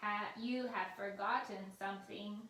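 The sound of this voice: A woman's put-on character voice at medium pitch, fairly slow pace, and a slight echo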